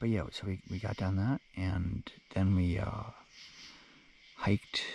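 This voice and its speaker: A soft-spoken man talks with a fairly low pitch. His voice is somewhat breathy. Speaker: long-distance hiker vlogger. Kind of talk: casual vlog narration. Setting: in a tent at a campsite. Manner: halting, many fillers.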